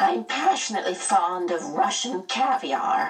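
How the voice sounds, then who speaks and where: A creaky, put-on character voice at a fairly high pitch swings very widely in pitch. It moves at a moderate pace over faint music in the background. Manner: genteel, whimsical, chatty.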